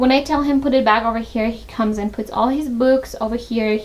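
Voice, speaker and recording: The speaker talks at a moderate pace with a Tajik accent. The intonation stays fairly even. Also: woman. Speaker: lifestyle vlogger, mother. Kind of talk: home tour vlog. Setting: at home. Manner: casual, hesitant with fillers.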